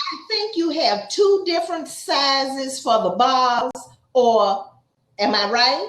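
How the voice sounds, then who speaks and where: Speaking very slowly in an Atlanta accent, a woman uses a high-pitched voice with very wide pitch swings. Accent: Southern, Atlanta. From Atlanta, US South. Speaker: YouTube interviewer. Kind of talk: casual interview.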